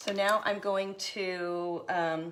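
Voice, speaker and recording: A woman talks at a medium pitch, with noticeable noise in the background. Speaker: craft tutorial host. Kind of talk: tutorial.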